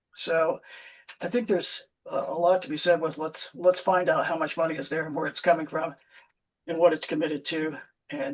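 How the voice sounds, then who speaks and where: Fairly even intonation carries the words along at a fairly quick pace. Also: man. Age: 60s. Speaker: political candidate. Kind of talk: interview. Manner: halting.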